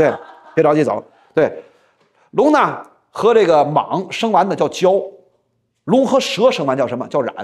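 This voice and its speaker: A man speaks at a fairly slow pace, leaving long, frequent pauses, against a quiet background. His high pitch moves in very wide swings. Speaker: storyteller. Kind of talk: traditional storytelling performance. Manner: casual, chatty. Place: studio. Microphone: lapel.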